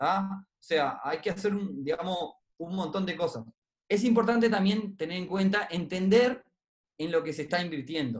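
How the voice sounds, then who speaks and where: Using a Uruguayan accent, a man with a high pitch talks at a moderate pace with lively intonation. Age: 30s. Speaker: investment club co-founder. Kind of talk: interview on personal finance.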